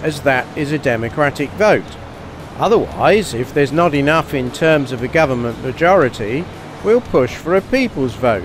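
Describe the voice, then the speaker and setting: With noticeable background noise, a man speaks at a moderate pace with lively intonation, in a dry sound with no echo. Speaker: candidate. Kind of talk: political street conversation. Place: street. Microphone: handheld.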